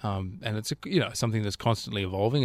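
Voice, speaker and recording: In an Australian accent, a man with a fairly low pitch speaks with fairly even intonation, the sound dry and close with no echo in a very clean recording against a silent background. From Australia, Canberra. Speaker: musical director. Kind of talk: interview. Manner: hesitant with fillers.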